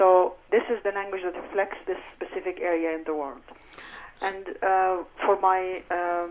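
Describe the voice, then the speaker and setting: With an Arabic accent, a woman at a medium pitch speaks at a moderate pace in fairly even intonation, with long, frequent pauses. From Egypt. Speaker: novelist and professor. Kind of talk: radio interview. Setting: radio studio.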